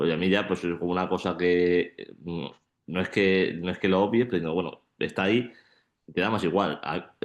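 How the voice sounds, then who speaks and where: Over a quiet background, a man talks in a very deep, low pitch with fairly even intonation. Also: moderate pace. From Málaga, Andalusia, Spain. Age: 20s. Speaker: shot put athlete and student. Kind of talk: panel discussion.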